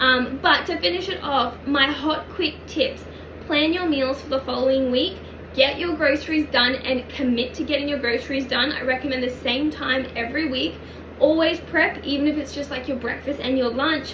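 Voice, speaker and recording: At a moderate pace, a woman speaks in a high pitch with fairly even intonation, with audible room echo and noticeable background noise. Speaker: personal trainer and nutrition coach. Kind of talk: online coaching lesson.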